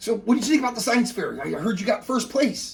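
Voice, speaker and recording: A man in a put-on character voice, extremely high-pitched and very fast. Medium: actual play. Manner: energetic, fast, excitable.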